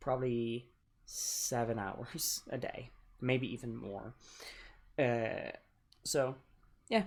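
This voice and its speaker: Long, frequent pauses break up speech that unfolds at a very slow pace. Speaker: gameplay video creator. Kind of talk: casual gameplay commentary. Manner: stutters, many filler words.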